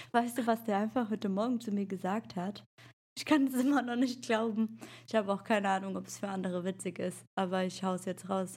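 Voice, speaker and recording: A woman speaks at a fairly quick pace, her voice somewhat breathy. Her pitch is medium, with ordinary variation. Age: 30s. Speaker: podcast co-host, mother. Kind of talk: casual chat. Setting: video call.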